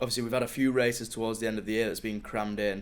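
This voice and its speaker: With a Yorkshire accent, a man speaks at medium pitch in a monotone, flat intonation. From northern England, Sheffield. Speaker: track cyclist. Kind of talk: casual interview chat. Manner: hesitant, many fillers.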